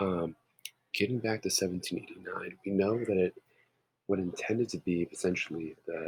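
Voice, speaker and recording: Quiet, dry and close, with no echo, a man talks at a moderate pace. He leaves long, frequent pauses. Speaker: history teacher. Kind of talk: lecture. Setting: home.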